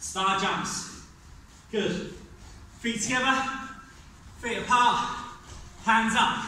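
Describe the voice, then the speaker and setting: A man's extremely high voice at a very slow pace, with long, frequent pauses, fairly even intonation, light background noise and strong room echo. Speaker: fitness instructor. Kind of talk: guided workout class. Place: gym. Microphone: camera far.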